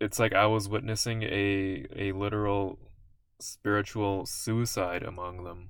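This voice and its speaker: Mumbling at a fairly slow pace, a man speaks with a fairly low pitch and monotone, flat intonation. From South Asia. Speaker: vlogger. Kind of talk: monologue vlog. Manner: stutters, mumbles.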